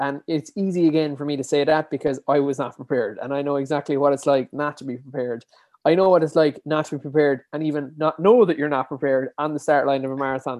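With hardly any pauses, a man speaks very fast at a fairly high pitch and with fairly even intonation. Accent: Kerry. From Ireland, Dingle, County Kerry. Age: 20s. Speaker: endurance athlete and podcaster. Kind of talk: interview.

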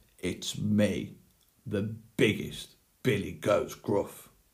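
Using a put-on character voice, a man talks at a very slow pace and a fairly low pitch.

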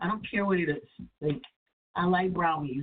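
In a New Jersey accent, a woman speaks at a moderate pace and medium pitch with lively intonation. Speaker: internet radio host. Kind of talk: casual call-in radio chat. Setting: online radio studio with phone callers.

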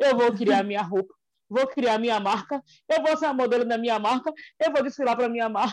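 On a dry, close recording with no echo, a woman talks at a moderate pace with ordinary pitch variation. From Salvador, Bahia, Brazil. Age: 40s. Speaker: fashion designer and teacher. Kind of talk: casual interview.

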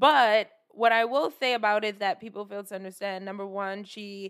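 Delivered at a moderate pace, the speech comes through in a very clean recording with a silent background. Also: woman. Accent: New York. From New York City (Brooklyn, Flatbush). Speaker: podcast co-host. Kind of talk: casual chat.

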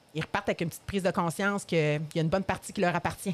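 The speech comes at a very fast pace in a Quebec accent. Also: woman. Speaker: addiction therapist. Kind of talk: interview.

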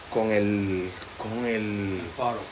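Background noise is clearly present. Through it comes a man's voice. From Puerto Rico. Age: 30s. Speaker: podcast host. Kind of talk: casual interview chat. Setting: outdoor patio at home.

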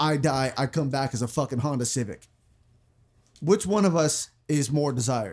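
A man with a fairly high pitch speaks in an animated tone at a moderate pace, his pitch varying in an ordinary way on a very clean recording with a silent background. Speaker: podcast host. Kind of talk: casual comedic banter podcast. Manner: animated, profane, joking.

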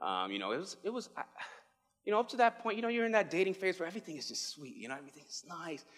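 With a New York accent and an animated tone, a man talks at a very fast pace. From New York City (the Bronx). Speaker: pastoral resident. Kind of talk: sermon.

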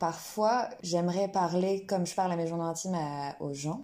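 This woman's voice is fairly low, with a dark, mellow tone and ordinary pitch variation. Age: 20s. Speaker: singer-songwriter and student. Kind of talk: casual interview chat.

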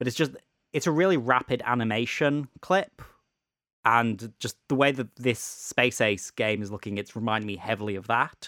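A man is heard in a very clean recording with a silent background and a dry, close sound with no echo. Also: medium pitch for a man, ordinary pitch variation, moderate pace. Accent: British. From UK. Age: 20s. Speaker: podcast host. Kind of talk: casual chat.

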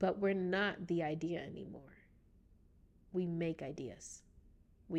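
A woman's fairly low, vocal-fry voice at a fairly slow pace. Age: 20s. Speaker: podcast host. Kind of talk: casual solo monologue.

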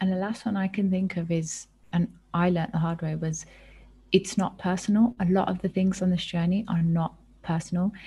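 The voice is dark and mellow, somewhat breathy and flat in intonation, moving at a fairly quick pace. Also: woman, medium pitch for a woman. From England. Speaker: co-founder of an organisation. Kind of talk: casual interview chat.

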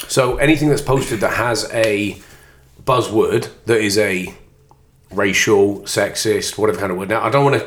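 Somewhat breathy, a man talks at a moderate pace and medium pitch. His pitch variation is ordinary. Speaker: football podcast host. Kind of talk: casual banter about football. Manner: joking, laughs often.

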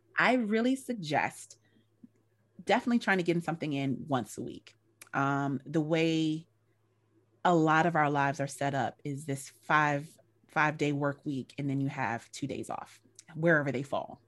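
On a very clean recording with a silent background, a woman with a very deep, low pitch talks at a moderate pace with ordinary pitch variation and long, frequent pauses. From US South, North Carolina. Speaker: educational consultant and actress. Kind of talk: casual chat.

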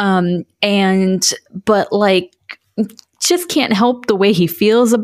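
On a very clean recording with a silent background, a woman speaks at a fairly slow pace with ordinary pitch variation. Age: 30s. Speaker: podcast co-host. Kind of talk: casual chat. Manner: animated.

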